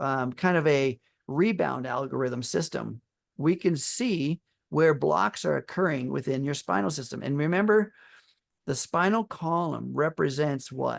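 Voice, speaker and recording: A man with a fairly high voice and an ordinary speaking voice, at a fairly slow pace with lively intonation, dry and close with no echo, against a quiet background. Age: 60s. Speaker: epigenetics wellness presenter. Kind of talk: online webinar presentation.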